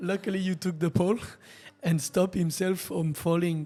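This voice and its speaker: A man talks at a moderate pace in a French accent. His voice sits high in pitch. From France. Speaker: racing driver. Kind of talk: casual chat. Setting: studio.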